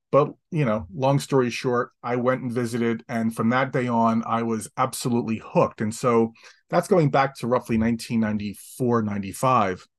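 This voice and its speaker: A man with an American accent talks at a fairly slow pace in an ordinary speaking voice, his pitch medium. His pitch variation is ordinary, and the background is quiet. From New Jersey, Atlantic City. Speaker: historian and author. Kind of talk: interview.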